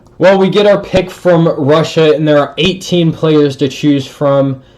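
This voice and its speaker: An ordinary speaking voice with an American accent. The pace is fairly slow. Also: man. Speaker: sports YouTuber. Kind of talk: gameplay commentary. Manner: casual.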